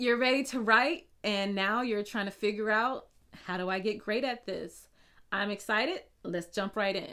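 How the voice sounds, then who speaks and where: In a very clean recording with a silent background, a woman with a slight Southern US accent speaks at a moderate pace in a fairly high pitch and a bright, sharp tone. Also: ordinary pitch variation. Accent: slight Southern twang. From US South. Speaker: blogging coach. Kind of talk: tutorial. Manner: casual, conversational.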